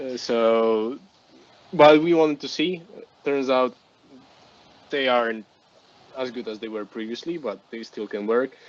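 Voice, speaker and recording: Someone with a Polish accent talks at a fairly slow pace with long, frequent pauses. The loudness swings widely. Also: man, medium pitch for a man, ordinary pitch variation. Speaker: wargaming national team selector. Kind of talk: podcast discussion. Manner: halting.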